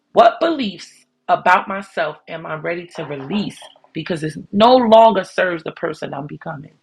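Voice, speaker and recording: A woman with a fairly low, somewhat breathy voice speaks at a moderate pace with lively intonation and big swings in loudness. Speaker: podcast host. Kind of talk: motivational podcast monologue. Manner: warm, encouraging. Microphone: new microphone system, may sound different.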